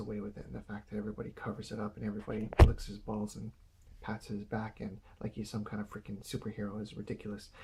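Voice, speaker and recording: A man with a dark, mellow tone and vocal fry talks at a very fast pace. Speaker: video blogger. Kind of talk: casual monologue. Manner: halting.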